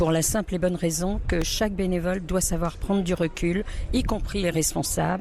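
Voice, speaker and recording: A woman's fairly low voice, fairly even in intonation and very even in loudness, at a moderate pace over noticeable background noise. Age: 60s. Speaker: food bank volunteer coordinator. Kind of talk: interview testimony. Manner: hesitant with fillers.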